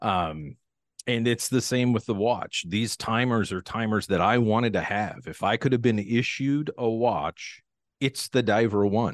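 Over a quiet background, a man with an American accent speaks at a fairly slow pace in a plain, everyday voice with ordinary pitch variation, the sound dry and close with no echo. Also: medium pitch for a man. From US Pacific Northwest. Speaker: watch company founder. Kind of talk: interview conversation. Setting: home podcast studio. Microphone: crisp studio sound.

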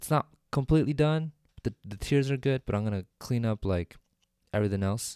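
Lively intonation rides over a dark, mellow tone at a moderate pace. The recording is very clean, dry and close, with a silent background and no echo. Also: man. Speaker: solo podcaster. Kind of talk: casual monologue. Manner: unscripted, with many fillers; normal speaking voice, not ASMR.

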